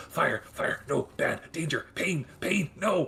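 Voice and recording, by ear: Over clear background noise, a man puts on a character voice, speaking at a very slow pace with a high pitch.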